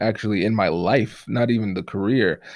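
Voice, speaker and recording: In a very clean recording with a silent background, a man with an American accent talks at a fairly quick pace. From Tiffin, Ohio, US Midwest, Caribbean family. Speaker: attorney and negotiation trainer. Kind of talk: interview conversation.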